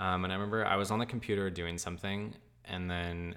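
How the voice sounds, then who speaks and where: With a very deep, low pitch, the man delivers his words in a monotone, flat intonation. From California. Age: 20s. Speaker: podcast guest sharing personal story. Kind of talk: personal testimony in casual interview.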